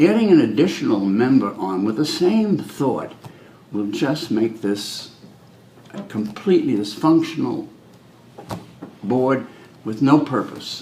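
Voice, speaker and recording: A man with an American accent speaks at a fairly slow pace in a fairly high pitch, his pitch swinging very widely. Long, frequent pauses break up his speech, with noticeable background noise and audible room echo around it. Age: 70s. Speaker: fire commissioner candidate. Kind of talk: interview.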